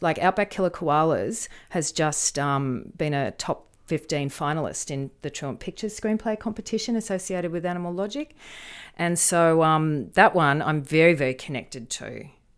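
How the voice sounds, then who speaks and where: A woman with an Australian accent, fairly low in pitch, with lively intonation at a moderate pace, on a very clean recording with a silent background. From rural New South Wales, Australia. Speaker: screenwriter and media lecturer. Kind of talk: interview conversation.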